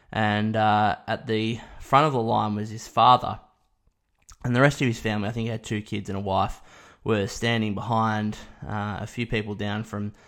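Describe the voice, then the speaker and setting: A man with an Australian accent talks at a moderate pace and fairly low pitch. His intonation is monotone and flat, on a very clean recording with a silent background. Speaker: sports podcast host. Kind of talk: solo podcast monologue.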